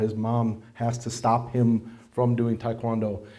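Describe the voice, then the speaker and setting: A man speaks very slowly at a medium pitch, his tone dark and mellow, with audible room echo. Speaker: martial arts instructor and school owner. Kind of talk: presentation to an audience. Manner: loud; conversational, with many fillers.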